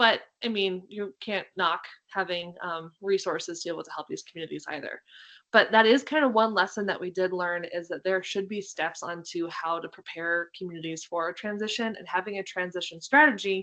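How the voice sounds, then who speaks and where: At a fairly quick pace, a woman with a medium-pitched, bright and sharp voice speaks with ordinary pitch variation and big swings in loudness against a quiet background. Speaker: state agency staff presenter. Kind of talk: webinar presentation. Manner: fast.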